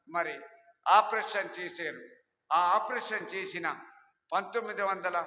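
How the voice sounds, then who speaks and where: A man's raised, projected voice, high in pitch, with fairly even intonation and audible room echo. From East Godavari agency area, Andhra Pradesh, India. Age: 70s. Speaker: church founder. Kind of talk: testimony. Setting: church.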